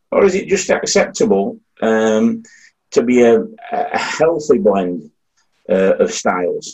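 A man with a Yorkshire accent. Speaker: audience member asking the panel a question.

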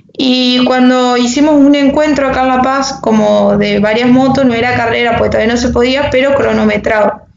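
The voice runs on with hardly any pauses, monotone and flat in intonation and very even in loudness, over noticeable background noise. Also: woman, high pitch for a woman, moderate pace. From Argentina, Entre Ríos. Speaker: motocross and enduro rider. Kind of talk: interview.

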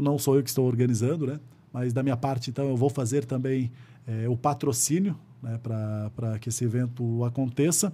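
Somewhat breathy and dark, mellow in tone, a man at medium pitch talks at a moderate pace. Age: 30s. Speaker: city councillor and volunteer firefighter. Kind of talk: interview conversation.

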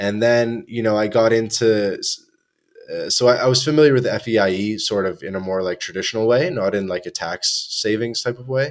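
In a Canadian accent, a man speaks at a medium pitch and a fairly quick pace. His is an unremarkable speaking voice with ordinary pitch variation. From Canada, Toronto. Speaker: podcast host. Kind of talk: casual chat.

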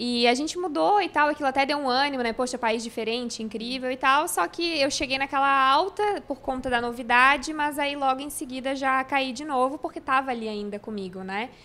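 The speaker uses a raised, projected voice at a fairly quick pace, with hardly any pauses and ordinary pitch variation. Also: woman, high pitch for a woman. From Santa Catarina, Brazil (Florianópolis), then Rio Grande do Sul from 14. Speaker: YouTuber, crossfit enthusiast and new mother. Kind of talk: casual interview chat. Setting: podcast studio with cameras.

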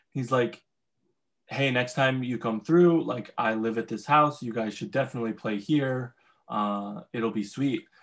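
A plain, everyday voice talks with ordinary pitch variation at a fairly slow pace. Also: man, medium pitch for a man. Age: young. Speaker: musician. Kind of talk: casual chat. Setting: video call.

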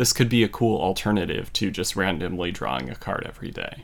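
The recording is very clean against a silent background. A man talks with vocal fry. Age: 30s. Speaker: tarot podcast host. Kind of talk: solo educational podcast monologue.

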